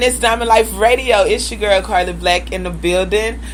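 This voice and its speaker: This woman talks with an American accent, with audible room echo and noticeable background noise. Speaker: radio host. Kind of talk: radio interview. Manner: loud.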